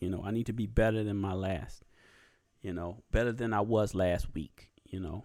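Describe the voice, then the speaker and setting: Recorded very cleanly against a silent background, a man with a Southern US accent talks at a moderate pace. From US South. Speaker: YouTube podcast host. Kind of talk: casual solo podcast talk. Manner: halting, many fillers and pauses.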